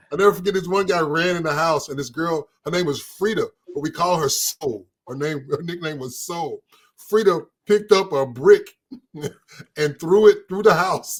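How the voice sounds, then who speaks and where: With an American accent, the speaker goes at a moderate pace, with ordinary pitch variation and big swings in loudness. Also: man, high pitch for a man. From US inner-city projects. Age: 60s. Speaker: retired police officer. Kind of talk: casual chat. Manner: halting, many false starts.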